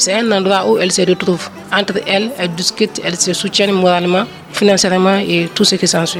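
Delivered at a fairly quick pace, the speech has very even loudness and fairly even intonation over noticeable background noise. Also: woman, medium pitch for a woman. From Ivory Coast. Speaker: urologist surgeon. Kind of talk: interview.

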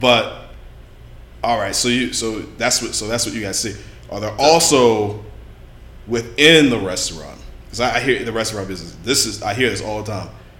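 A man speaks at a moderate pace, leaving long, frequent pauses. Room echo is audible. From Louisiana. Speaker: podcast host. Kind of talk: casual chat.

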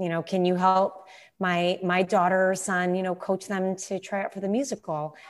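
A woman talks in a plain, everyday voice at medium pitch. The recording is very clean, with a silent background. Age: 30s. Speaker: former musical theater performer. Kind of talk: casual chat.

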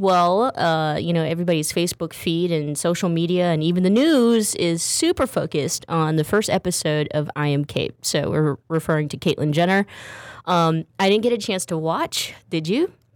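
A woman with a normal speaking voice and fairly low pitch talks at a moderate pace. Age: 30s. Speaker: radio talk show host. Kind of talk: casual talk show chat. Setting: studio.

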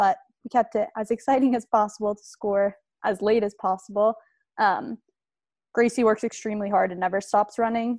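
Against a quiet background, a woman speaks in an ordinary speaking voice at a fairly quick pace and medium pitch. Her intonation is fairly even, and the sound is dry and close with no echo. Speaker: college soccer player. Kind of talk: interview.

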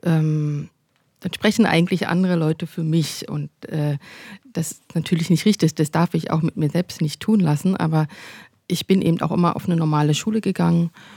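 Recorded with a dry, close sound and no echo, a woman speaks at a moderate pace in a fairly low, dark, mellow tone with fairly even intonation. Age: 40s. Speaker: painter and doctoral student. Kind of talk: interview conversation.

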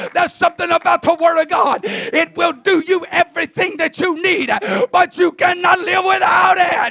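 A man speaks in a raised, projected voice with an animated tone at an extremely high pitch. The sound is dry and close with no echo, though background noise is noticeable. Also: moderate pace. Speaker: visiting preacher. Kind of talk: sermon. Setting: church. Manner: loud.

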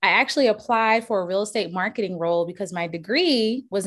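An ordinary speaking voice with an American accent moves at a fairly quick pace with lively intonation on a very clean recording with a silent background. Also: woman. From Charleston, South Carolina. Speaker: real estate agent. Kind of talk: interview.

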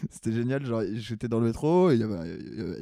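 A man speaks with lively intonation and a dark, mellow tone. The sound is dry and close, with no echo. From Paris. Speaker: comedian. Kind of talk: casual chat.

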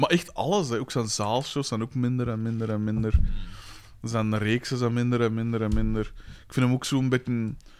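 This man has an unremarkable speaking voice at medium pitch. He keeps a moderate pace and fairly even intonation. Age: 30s. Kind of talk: casual chat.

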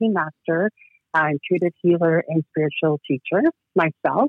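Speaking at a moderate pace, a woman has an unremarkable speaking voice, fairly low in pitch, with ordinary pitch variation. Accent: Canadian. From Toronto, Canada (immigrated from Georgia at four). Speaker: children's author and energy healer. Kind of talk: interview. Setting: phone call.

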